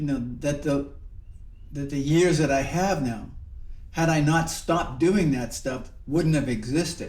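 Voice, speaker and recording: In a room with audible echo, a man with a fairly high, somewhat breathy voice talks at a fairly slow pace. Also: ordinary pitch variation. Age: 70s. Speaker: Zen monk and teacher. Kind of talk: reflective dharma talk. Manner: halting, with many repetitions and fillers.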